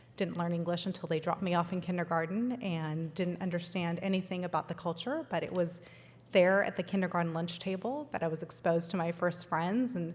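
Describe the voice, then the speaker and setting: A woman speaks with a West Coast US accent and a fairly low pitch. Her voice is somewhat breathy and her pace fairly quick. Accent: General American (West Coast). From Los Angeles, US. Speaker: food company founder. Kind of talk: keynote speech.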